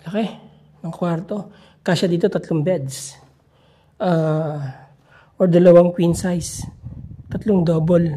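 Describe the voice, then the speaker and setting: Long, frequent pauses interrupt the talking. Its pace is very slow. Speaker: vlogger exploring abandoned properties. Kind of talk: walkthrough vlog narration. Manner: casual, unhurried.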